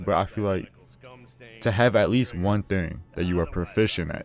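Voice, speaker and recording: A man's fairly low-pitched voice at a moderate pace with ordinary pitch variation. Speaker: gaming commentary vlogger. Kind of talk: casual unscripted advice talk over gameplay. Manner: halting, self-correcting.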